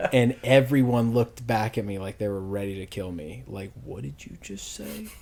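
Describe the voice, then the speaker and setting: An unremarkable speaking voice from a man with an American accent, fairly low in pitch, at a moderate pace, with lively intonation and big swings in loudness. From US South, Louisville, Kentucky. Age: 30s. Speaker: podcast guest. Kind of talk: casual chat.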